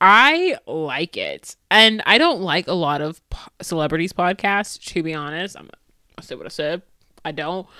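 A woman with an American accent speaks at a fairly slow pace, her bright, sharp tone carrying lively intonation and big swings in loudness, in a very clean recording with a silent background. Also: medium pitch for a woman. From United States. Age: 20s. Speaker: solo podcaster. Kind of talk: casual solo monologue. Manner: talkative and repetitive.

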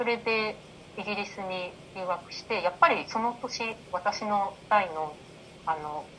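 At a very slow pace, a woman speaks in a medium pitch with ordinary pitch variation and big swings in loudness. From Japan. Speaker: life coach. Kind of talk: interview.

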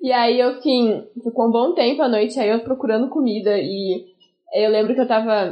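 Fairly even intonation marks this woman's speech. She keeps a moderate pace. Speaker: music student with type 1 diabetes. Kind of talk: casual chat.

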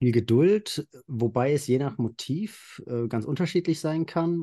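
A man talks in a dark, mellow tone. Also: quiet background. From central Hesse, Germany. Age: 30s. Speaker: nature photographer. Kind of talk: interview.

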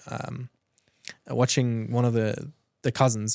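A man at a medium pitch and moderate pace, with a South African accent. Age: 20s. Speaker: entrepreneur.

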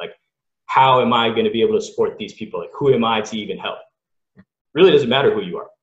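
A man with an American accent at a very fast pace. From Southern California, Los Angeles. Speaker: college sports scientist. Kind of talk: casual interview.

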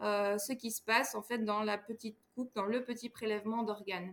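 This is a woman with an ordinary speaking voice. Her pitch is fairly high and her intonation fairly even. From Belgium, Namur province. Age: 20s. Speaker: doctoral researcher in biomedical sciences. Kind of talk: podcast interview.

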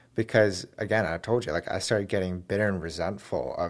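In a very clean recording with a silent background, a man with an ordinary speaking voice talks at a fairly low pitch and a fairly quick pace. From moved around, Germany and US. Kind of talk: casual interview.

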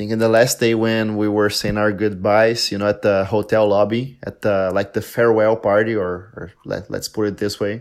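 Here is a man with a Portuguese accent. His intonation stays fairly even. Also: very clean recording, silent background. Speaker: polyglot and content creator. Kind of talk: casual chat.

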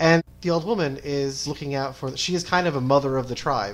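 A man speaks in a normal speaking voice at a fairly quick pace, his pitch fairly high with ordinary variation. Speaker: guest and fan of the show. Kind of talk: casual podcast discussion.

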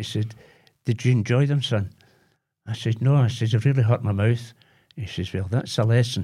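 At a moderate pace with long, frequent pauses, a man speaks at medium pitch in a dark, mellow, somewhat breathy tone with fairly even intonation on a very clean recording with a silent background. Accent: Glaswegian. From Glasgow, Possil Park. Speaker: retired electrician. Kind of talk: casual chat.

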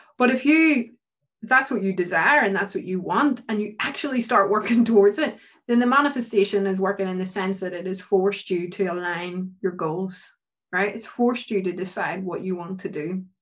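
A woman with a Northern Irish accent at medium pitch, fairly quick pace and ordinary pitch variation. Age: 20s. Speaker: PhD researcher in psychology. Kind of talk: casual interview.

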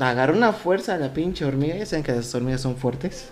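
A man with a fairly high pitch talks at a fairly quick pace, using ordinary pitch variation. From Mexico, Querétaro. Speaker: podcast co-host. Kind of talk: casual chat, telling jokes. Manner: animated.

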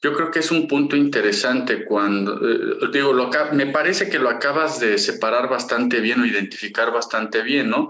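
Audible room echo surrounds a man of medium pitch whose bright, sharp tone comes at a moderate pace with hardly any pauses, very even loudness and ordinary pitch variation. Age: 50s. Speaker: podcast co-host, industrial engineer. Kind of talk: casual chat.

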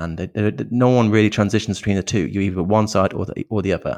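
A man with a British accent talks at a fairly low pitch with ordinary pitch variation. The background is quiet. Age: 30s. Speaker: men's issues content creator. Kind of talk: interview conversation. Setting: remote call.

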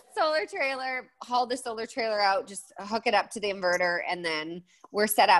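With a western Canadian accent, a woman talks at a moderate pace with lively intonation and big swings in loudness. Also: fairly high pitch for a woman. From Alberta, Canada. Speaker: blogger and designer. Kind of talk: interview.

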